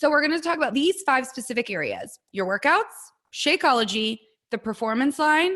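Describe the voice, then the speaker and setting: Bright and sharp in tone, a woman speaks at a moderate pace with very wide pitch swings. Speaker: network marketing coach. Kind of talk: training talk.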